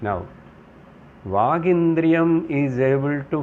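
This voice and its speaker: A man speaks very slowly, with audible room echo. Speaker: Vedanta teacher. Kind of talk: spiritual lecture.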